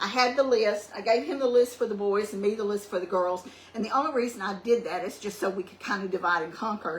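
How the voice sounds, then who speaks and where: A woman talks at a very fast pace, her pitch medium with ordinary variation. Her loudness swings widely over noticeable background noise. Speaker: cooking channel host. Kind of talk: cooking tutorial. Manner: soft-spoken; hesitant with many ums.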